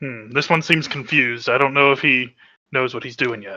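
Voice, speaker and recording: Speaking in a put-on character voice, a man sounds raspy at a medium pitch, moving at a fairly quick pace with fairly even intonation. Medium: actual play.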